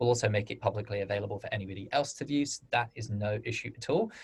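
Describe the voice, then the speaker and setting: A man talks at a very fast pace with a somewhat breathy voice and fairly even intonation. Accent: British. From United Kingdom. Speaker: webinar host for crowdfunding platform. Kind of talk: webinar Q&A moderation.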